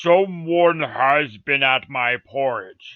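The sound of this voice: A put-on character voice from a man, fairly high in pitch, at a very slow pace.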